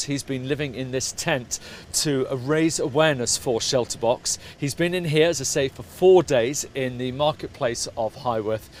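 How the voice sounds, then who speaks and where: An ordinary speaking voice from a man, medium in pitch, at a moderate pace with ordinary pitch variation. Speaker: web TV presenter, interviewer. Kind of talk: local news report to camera. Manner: upbeat.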